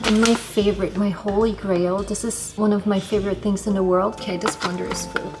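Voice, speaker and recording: Against noticeable background noise, a woman talks at a fairly quick pace and medium pitch, flat and monotone, with hardly any pauses. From Germany. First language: German. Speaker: vlogger, backpacker farm worker. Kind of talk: casual vlog narration. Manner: chatty, talkative.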